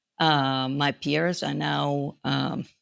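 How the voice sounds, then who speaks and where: A woman speaks with a non-native accent. Her pitch is very deep and low. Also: very clean recording, silent background. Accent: foreign. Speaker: grief educator, author. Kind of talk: interview.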